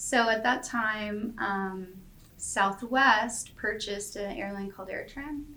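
Amid audible room echo, a woman with a fairly high pitch and a bright, sharp tone speaks at a very slow pace with ordinary pitch variation. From Canada, Calgary. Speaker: airline software services director. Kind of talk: interview.

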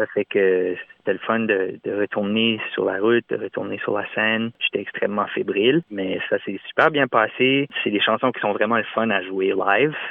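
Speaking with an Acadian accent, a man talks with hardly any pauses. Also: moderate pace. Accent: Acadian French (Chiac). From Moncton, New Brunswick, Acadia (Canada). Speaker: singer-songwriter. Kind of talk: interview. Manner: halting, frequent repetitions and hesitations.

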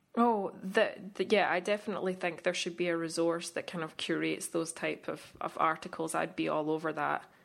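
A woman speaks with a fairly low pitch and vocal fry, hardly pausing at all. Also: fairly quick pace. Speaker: podcast co-host and photographer. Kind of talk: casual chat. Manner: halting, with frequent fillers.

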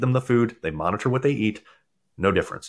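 Very fast speech comes from a man with an American accent, at medium pitch with ordinary variation. The recording is very clean, with a silent background. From US East Coast, Maryland. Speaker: nutrition and fitness coach, former dentist. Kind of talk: casual interview chat.

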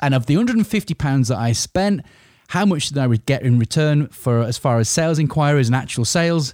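A man with an English accent and a fairly high pitch, dark, mellow tone and lively intonation, in a dry, close sound with no echo and a very clean recording over a silent background. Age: 40s. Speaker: business owner podcaster. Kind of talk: solo podcast monologue. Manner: informal.

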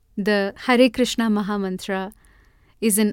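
A woman's unremarkable speaking voice at a medium pitch with fairly even intonation and a fairly slow pace, dry and close with no echo, on a very clean recording with a silent background. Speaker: podcast host and mantra chanter. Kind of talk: storytelling monologue.

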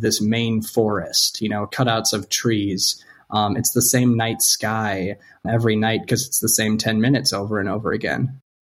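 Recorded very cleanly against a silent background, a man with an American accent has a normal speaking voice at medium pitch with fairly even intonation. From US Midwest, North Dakota. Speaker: theatre director and professor. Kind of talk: radio interview.

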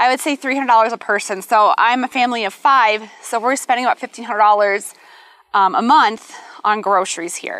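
With an American accent, a woman talks at a moderate pace in a fairly high voice with a bright, sharp tone. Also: ordinary pitch variation. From US Midwest. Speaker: realtor. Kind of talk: casual chat.

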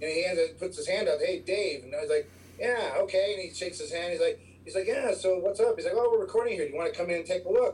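The speech runs at a very fast pace. Noticeable background noise sits underneath it. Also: man. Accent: American. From Chicago. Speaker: music store worker, music fan. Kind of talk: casual chat.

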